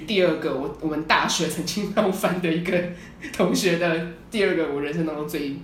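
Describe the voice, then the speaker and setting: A woman's fairly low voice amid noticeable background noise and audible room echo. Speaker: podcast co-host. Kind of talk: casual chat.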